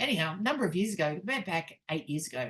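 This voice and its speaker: A woman with an Australian accent speaks in a fairly low pitch, her pitch varying in an ordinary way. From Australia, Newcastle NSW. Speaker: networking group host. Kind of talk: casual chat.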